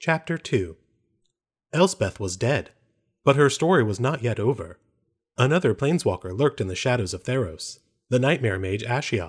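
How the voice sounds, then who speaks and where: A man's solemn, theatrical, somewhat breathy voice at a medium pitch, moderately paced, with long, frequent pauses and very wide pitch swings, on a very clean recording with a silent background. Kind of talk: dramatic audiobook narration, parody. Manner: solemn, theatrical, formal storytelling pace.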